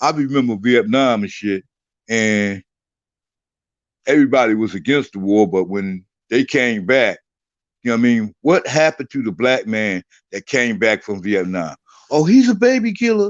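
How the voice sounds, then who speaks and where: With lively intonation and an animated tone, a man speaks at medium pitch and a moderate pace, leaving long, frequent pauses. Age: 60s. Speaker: political commentator guest. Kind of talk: heated debate.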